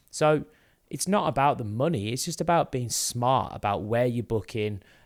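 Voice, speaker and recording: A man with a Birmingham accent is heard on a very clean recording with a silent background. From England, Birmingham area. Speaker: business owner, podcast co-host. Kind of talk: casual chat. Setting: video podcast on camera.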